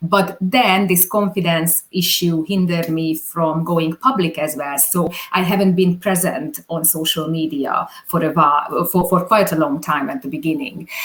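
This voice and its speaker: Talking at a moderate pace in a Hungarian accent, a woman with a fairly low pitch shows ordinary pitch variation. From Hungary. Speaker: videographer. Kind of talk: interview. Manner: halting.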